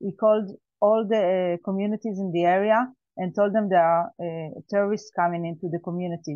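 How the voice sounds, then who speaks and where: The speaker has an Israeli accent. The pace is fairly quick. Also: woman, medium pitch for a woman, fairly even intonation. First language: Hebrew. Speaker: survivor, farmer. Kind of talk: testimony. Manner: halting.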